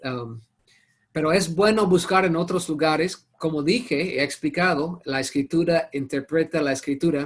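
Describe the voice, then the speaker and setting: A man with a non-native accent, a fairly high pitch and ordinary pitch variation, at a moderate pace. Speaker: Bible teacher. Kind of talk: online Bible study class. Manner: halting.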